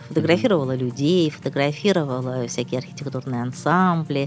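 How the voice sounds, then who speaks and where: A woman speaks at a very fast pace with ordinary pitch variation. Music plays in the background. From St Petersburg, Russia. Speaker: politician and public figure. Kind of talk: interview. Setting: studio.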